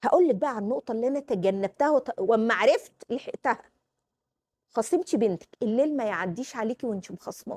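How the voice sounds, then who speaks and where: A woman speaks fairly quickly in an Egyptian accent, her voice fairly high with lively intonation and an animated tone. The sound is dry and close, with no echo. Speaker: parenting vlogger, mother. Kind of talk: casual advice talk to camera.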